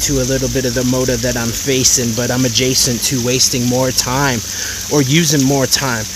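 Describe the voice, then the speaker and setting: A man at a moderate pace with fairly even intonation, dry sound with no echo, and noticeable background noise. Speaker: spoken word poet. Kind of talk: improvised spoken word poetry. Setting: outdoors. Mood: reflective, inspirational. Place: waterside. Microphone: phone near.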